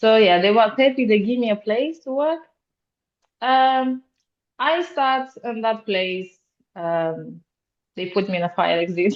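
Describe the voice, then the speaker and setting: Pausing long and often at a fairly slow pace, a woman with a Romanian accent uses lively intonation at a fairly high pitch. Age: 20s. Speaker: security officer. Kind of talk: podcast interview. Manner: halting, many fillers.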